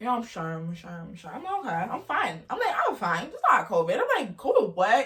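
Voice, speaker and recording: A woman talks at a fairly quick pace. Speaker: vlogger. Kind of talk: storytelling vlog. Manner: fast; animated.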